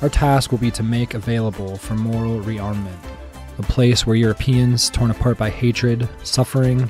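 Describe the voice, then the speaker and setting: Over music in the background, a man speaks at a moderate pace with a medium pitch and fairly even intonation. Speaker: podcast host. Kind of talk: documentary-style narration.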